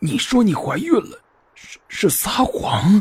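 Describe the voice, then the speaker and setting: This put-on character voice is husky and hoarse, pitched fairly high, and moves at a fairly slow pace. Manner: urgent, demanding, suspicious.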